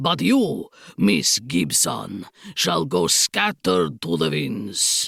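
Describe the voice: Putting on a character voice, a woman speaks at a very slow pace and low pitch, with vocal fry, a slightly husky edge, a fairly bright tone and big pitch swings.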